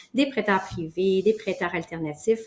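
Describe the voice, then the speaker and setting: A woman with a Quebec accent, medium pitch and a moderate pace. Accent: Québécois. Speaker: mortgage broker. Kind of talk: interview.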